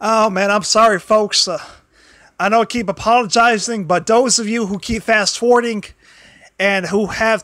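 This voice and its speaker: Loud shouting comes at a moderate pace. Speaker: wrestling commentary livestreamer. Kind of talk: casual livestream talk. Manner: halting.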